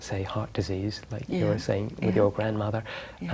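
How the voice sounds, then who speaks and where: A man speaks in a calm tone at a fairly low pitch. He is soft-spoken. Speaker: spiritual teacher. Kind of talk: interview answer. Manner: soft-spoken, calm.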